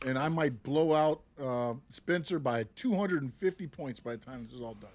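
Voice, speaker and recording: A man talks in a plain, everyday voice at a fairly high pitch. His pitch variation is ordinary, while his loudness swings widely. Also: moderate pace. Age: 50s. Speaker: podcast co-host. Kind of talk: casual chat.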